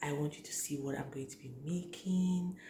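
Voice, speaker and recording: A quiet woman with a very deep, low pitch speaks with ordinary pitch variation, amid noticeable background noise and audible room echo. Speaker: cooking vlogger. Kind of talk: cooking tutorial. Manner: speaking slowly and quietly.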